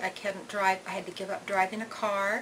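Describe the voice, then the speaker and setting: Medium pitch and a moderate pace from a woman, over noticeable background noise. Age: 60s. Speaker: patient giving a testimonial. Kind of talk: testimony. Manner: hesitant, many fillers.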